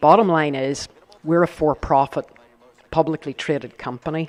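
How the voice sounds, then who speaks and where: With a Northern Irish accent, a man talks at a moderate pace in a fairly high pitch and fairly even intonation. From Northern Ireland. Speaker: company executive on a panel. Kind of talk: panel discussion. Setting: live event with audience.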